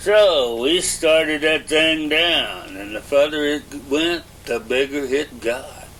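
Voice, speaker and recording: There is noticeable background noise as the speaker talks in a rural Southern US accent with ordinary pitch variation. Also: man. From Arkansas. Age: 70s. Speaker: elderly interviewee. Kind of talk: oral history interview. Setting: at home. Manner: halting, with frequent uh.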